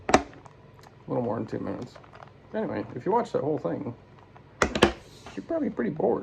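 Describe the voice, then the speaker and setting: Mumbling at a very fast pace with long, frequent pauses, a man speaks at a fairly high pitch. His pitch swings very widely against noticeable background noise. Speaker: amateur YouTuber. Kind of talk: casual solo vlog while solving a puzzle. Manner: slurred, runs words together.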